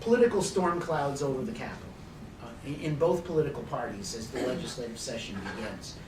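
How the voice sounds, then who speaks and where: A man talks with an American accent. Noticeable background noise and audible room echo come through. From Arizona (Phoenix). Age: 60s. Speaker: political analyst / speaker. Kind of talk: conference talk. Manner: halting, many fillers.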